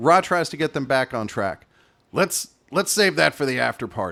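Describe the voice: The voice reads aloud plainly with lively intonation.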